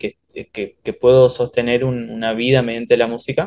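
The man's voice is a normal speaking voice at a medium pitch. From Oberá, Misiones, Argentina. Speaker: bandoneon player, musician. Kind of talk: casual interview chat.

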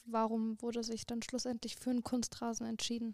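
In a dry, close recording with no echo, a woman speaks at a fairly high pitch with a dark, mellow tone and monotone, flat intonation. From Frankfurt, Germany. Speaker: student podcast co-host. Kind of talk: podcast interview.

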